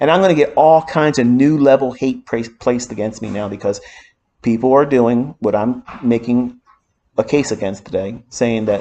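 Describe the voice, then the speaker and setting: This is a man with an unremarkable speaking voice. He speaks at a moderate pace and a medium pitch. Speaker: trading mentor. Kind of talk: lecture.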